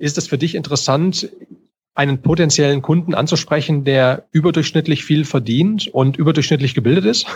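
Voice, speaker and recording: A man speaks at a fairly high pitch, somewhat breathy, with ordinary pitch variation. The background is quiet. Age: 40s. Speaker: podcaster and entrepreneur, former army officer. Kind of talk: casual interview.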